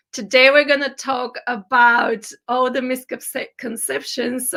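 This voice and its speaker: A woman in a put-on character voice, hoarse and high-pitched, at a fairly slow pace with monotone, flat intonation. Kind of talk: public talk, addressing an audience.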